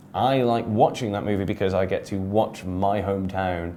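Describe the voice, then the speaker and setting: A dark, mellow tone in an English accent at a moderate pace. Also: man. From England, Shropshire (Shrewsbury). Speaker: English teacher. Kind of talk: casual monologue.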